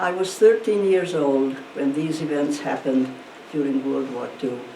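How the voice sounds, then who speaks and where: A woman's very deep, low voice at a moderate pace with lively intonation, amid noticeable background noise and audible room echo. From Hungarian-speaking region of Eastern Europe, now Ukraine. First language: Hungarian. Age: 90s. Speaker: Holocaust survivor and speaker. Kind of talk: testimony talk to students. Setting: school virtual presentation.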